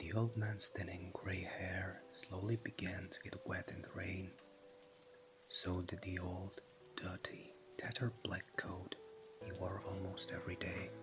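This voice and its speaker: A calm tone at a fairly slow pace, with music in the background. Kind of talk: ASMR story narration. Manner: soft, slow, calm.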